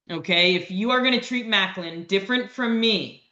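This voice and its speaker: A woman talks at a moderate pace. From Canada. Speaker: lawyer and educator. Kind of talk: educational webinar. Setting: video call. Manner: animated.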